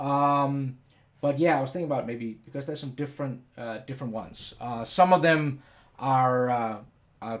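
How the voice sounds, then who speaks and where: With a Danish accent, a man of medium pitch talks at a moderate pace, his intonation fairly even but his loudness swinging widely. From Denmark. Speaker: software educator / CAD YouTuber. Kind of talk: live stream tutorial. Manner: casual, hesitant with many fillers.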